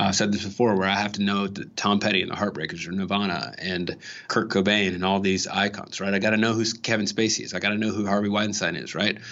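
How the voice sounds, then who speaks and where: Speaking with an American accent, a man delivers his words at a very fast pace with hardly any pauses. His fairly low voice stays monotone and flat. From Los Angeles, Watts. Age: 30s. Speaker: voter interviewee. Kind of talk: interview.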